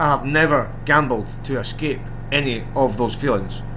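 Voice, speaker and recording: Male speech with audible room echo and noticeable background noise. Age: 40s. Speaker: gambling content creator. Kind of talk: casual monologue to camera. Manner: rambling, hesitant with many ums.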